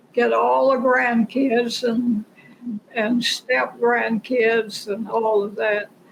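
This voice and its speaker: Noticeable background noise sits behind the speaker. A woman talks at a very slow pace. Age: 90s. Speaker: painter. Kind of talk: interview. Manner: halting.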